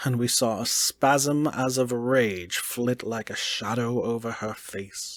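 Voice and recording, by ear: The intonation stays fairly even as a natural voice reads aloud.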